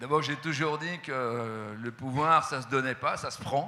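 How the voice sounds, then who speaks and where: A man speaks at a medium pitch with a bright, sharp tone. His intonation stays fairly even. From France, Haute-Savoie. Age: 70s. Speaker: company CEO. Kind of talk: interview. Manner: hesitant.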